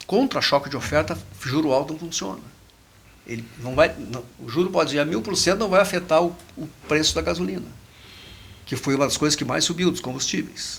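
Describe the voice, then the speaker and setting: A fairly high male voice, fairly quick and lively in intonation, broken by long, frequent pauses. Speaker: economist. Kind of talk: podcast discussion. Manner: fast.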